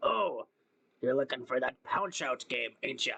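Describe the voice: A put-on character voice at a moderate pace.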